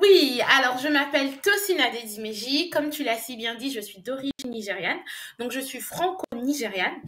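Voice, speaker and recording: A woman's high voice at a moderate pace, lively in intonation, with big swings in loudness and noticeable background noise. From Côte d'Ivoire and France. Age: young. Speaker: English business language coach. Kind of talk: interview.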